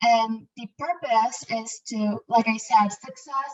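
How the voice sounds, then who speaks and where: A fairly high-pitched woman at a very slow pace, in a dry, close sound with no echo. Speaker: interpreter. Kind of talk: interpreting. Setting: video call. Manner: hesitant, many fillers; louder than before.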